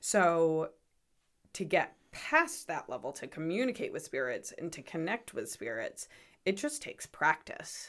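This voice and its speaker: A woman with an American accent at a fairly slow pace, big swings in loudness, on a very clean recording with a silent background. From Rhode Island, US. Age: 20s. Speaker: psychic medium. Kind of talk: casual interview chat. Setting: studio.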